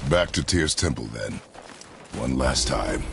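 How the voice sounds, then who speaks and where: Fairly slow delivery in a put-on character voice, against clear background noise. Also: man, very deep, low pitch for a man. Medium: video game. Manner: terse, grave.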